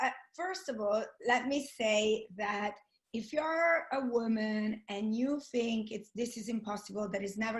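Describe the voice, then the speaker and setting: Somewhat breathy, fairly high female voice, its pitch varying in an ordinary way. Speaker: network marketing entrepreneur. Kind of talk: webinar interview.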